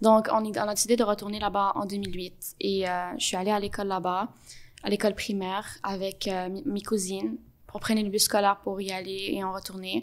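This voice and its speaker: A woman at medium pitch, fairly quick in pace, with fairly even intonation, in a very clean recording with a silent background. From Montreal, Quebec (born in Gaza). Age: 20s. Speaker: podcast guest, Palestinian Canadian. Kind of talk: interview testimony. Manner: hesitant with fillers.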